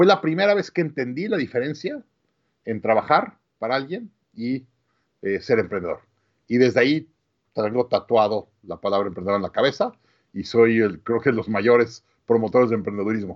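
Speaking with lively intonation at medium pitch, a man keeps a moderate pace broken by long, frequent pauses. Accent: Mexican. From Mexico City, Mexico. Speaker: business coach and entrepreneur. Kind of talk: interview.

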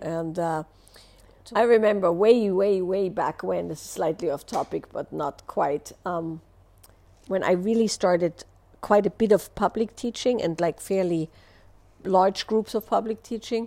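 A dark, mellow tone at a fairly slow pace, with ordinary pitch variation and big swings in loudness. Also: woman, medium pitch for a woman. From Austria. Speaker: relationship and wellness teacher. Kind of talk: live Q&A answer, explanatory talk. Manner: explanatory, hesitant with filler words.

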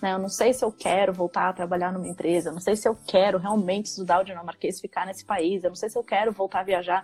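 Music in the background behind a woman's medium-pitched voice, very fast and with hardly any pauses. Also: fairly even intonation. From Brazil, São Paulo. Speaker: ambassador and book author. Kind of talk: live-stream interview.

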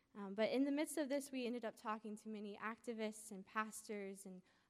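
Fairly brisk in tempo, this is a plain, everyday voice. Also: woman. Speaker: college student. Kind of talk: testimony. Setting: stage with audience.

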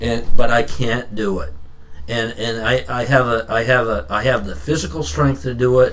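A man's medium-pitched voice at a moderate pace, lively in intonation, with audible room echo. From Maine, US (Standish/Raymond area). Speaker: powerlifter. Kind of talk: casual chat. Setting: studio.

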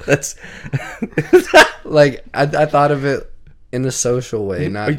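At a very slow pace, a man with a fairly high pitch speaks in a Southern US accent. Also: ordinary pitch variation. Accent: southern, country. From Texas, Indiana and Kentucky. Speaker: podcast co-host. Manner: steady drawn-out cadence, lazy-sounding speech.

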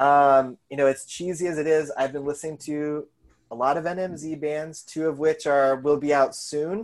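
This is a man with an ordinary speaking voice. He talks at a moderate pace. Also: fairly high pitch for a man, fairly even intonation, quiet background. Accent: American. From Colorado. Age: 30s. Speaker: high school English teacher and zine and record label owner. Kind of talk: casual interview chat.

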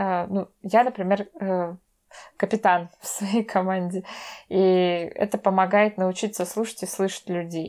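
Delivered at a very slow pace with long, frequent pauses and monotone, flat intonation, the speech comes through on a very clean recording with a silent background. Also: woman, medium pitch for a woman. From Russia, Veliky Novgorod. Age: 20s. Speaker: cultural studies graduate student. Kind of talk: casual interview.

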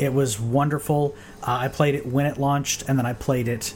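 Over noticeable background noise, this man keeps his intonation fairly even. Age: 30s. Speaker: gaming podcast host. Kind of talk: solo casual podcast talk. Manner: halting, many fillers and repeats.

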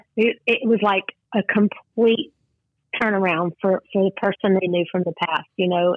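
A Texas accent at a fairly slow pace, with fairly even intonation. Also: woman. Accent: Southern US, Texas drawl. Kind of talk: testimony. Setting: phone call.

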